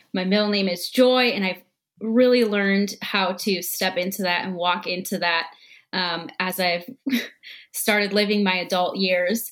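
In an American accent, an ordinary speaking voice moves at a fairly slow pace with fairly even intonation. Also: woman, medium pitch for a woman. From US Midwest, Minnesota. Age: 20s. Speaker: guest. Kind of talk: casual chat.

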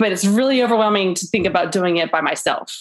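A woman with an American accent and a normal speaking voice talks at a medium pitch with fairly even intonation. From Florida, US South. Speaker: podcast panel guest. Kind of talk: casual chat.

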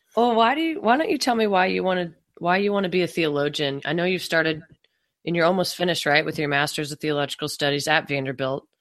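In an American accent, the speaker talks very fast with ordinary pitch variation. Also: woman, fairly low pitch for a woman. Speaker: podcast host. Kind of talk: casual interview chat; scripted intro and outro.

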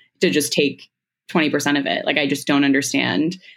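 On a very clean recording with a silent background, a woman with a very deep, low pitch and vocal fry talks at a moderate pace with fairly even intonation. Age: 20s. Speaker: social media creator. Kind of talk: casual chat.

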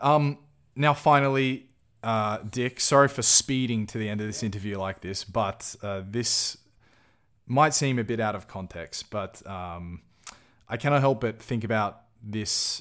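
Speaking fairly slowly in an Australian accent, a man comes through on a very clean recording with a silent background. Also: medium pitch for a man, ordinary pitch variation. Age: 20s. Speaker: podcast host. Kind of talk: casual interview.

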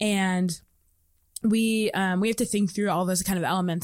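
A plain, everyday voice from a woman with an American accent, medium pitch, ordinary pitch variation and a fairly quick pace, on a very clean recording with a silent background. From US Midwest, Indianapolis, Indiana. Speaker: university student. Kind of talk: casual interview. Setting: studio.

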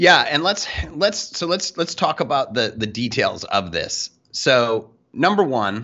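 Speaking fairly slowly with a Canadian accent, a man at medium pitch makes very wide pitch swings. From Canada. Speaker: sales podcast co-host. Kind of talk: casual chat.

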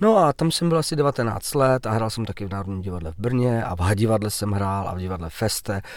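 A man with a fairly low pitch talks at a very fast pace with lively intonation and hardly any pauses, on a very clean recording with a silent background. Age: 40s. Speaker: actor. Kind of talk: interview.

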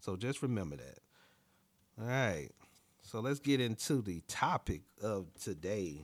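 An American-accented man's fairly low voice at a fairly slow pace, with very wide pitch swings and long, frequent pauses. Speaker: podcast host. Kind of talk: solo podcast monologue giving advice. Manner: casual, conversational, laughs often.

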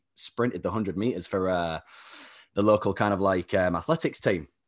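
Against a quiet background, a man speaks at a fairly quick pace. His pitch sits fairly low. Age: 30s. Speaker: performance coach. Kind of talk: casual interview chat.

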